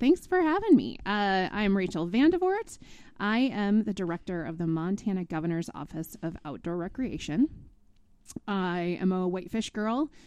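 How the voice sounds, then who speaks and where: A woman's medium-pitched voice with lively intonation at a moderate pace, a plain, everyday voice against a quiet background. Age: 40s. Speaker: state outdoor recreation director. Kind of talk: interview conversation.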